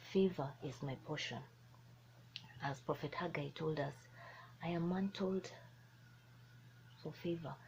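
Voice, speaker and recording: Very deep and low, this woman's somewhat breathy voice shows ordinary pitch variation. She speaks fairly slowly, with long, frequent pauses. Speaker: motivational speaker. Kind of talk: motivational talk. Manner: animated.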